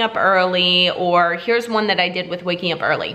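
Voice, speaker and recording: Noticeable background noise fills the clip. A woman talks with lively intonation. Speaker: fitness vlogger and bikini competitor. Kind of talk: vlog monologue. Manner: fast; animated.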